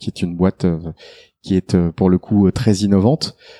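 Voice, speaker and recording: A man talks at a fairly low pitch in a dark, mellow tone. The sound is dry and close with no echo, on a very clean recording with a silent background. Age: 40s. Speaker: product development director. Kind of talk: interview.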